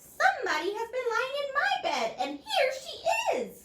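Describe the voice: In a put-on character voice, the speaker sounds squeaky and extremely high in pitch while keeping a moderate pace.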